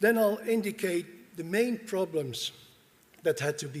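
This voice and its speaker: A man speaks at a moderate pace with a Dutch accent and ordinary pitch variation. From Netherlands. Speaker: university dean. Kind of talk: conference presentation. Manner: formal.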